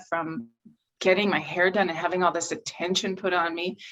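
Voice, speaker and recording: Talking fairly quickly, a woman speaks with an American accent. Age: 60s. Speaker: interviewee, family member. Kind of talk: casual interview.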